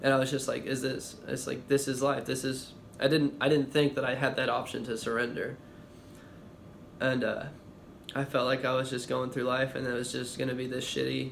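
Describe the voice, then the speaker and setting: Delivered at a fairly quick pace in a monotone, flat intonation, the voice shows vocal fry amid audible room echo. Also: man, medium pitch for a man. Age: 20s. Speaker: vlogger. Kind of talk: testimony. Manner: halting, with pauses and stammering.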